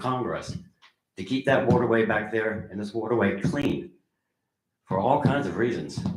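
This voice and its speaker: There is audible room echo as a man speaks at a moderate pace. His medium-pitched voice has lively intonation. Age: 70s. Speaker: public commenter at town meeting. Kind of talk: public comment. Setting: town council meeting. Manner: animated.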